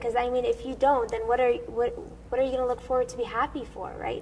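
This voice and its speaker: Noticeable background noise is present throughout. The voice is a woman's. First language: Assyrian. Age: young. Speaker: soprano singer. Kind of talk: interview.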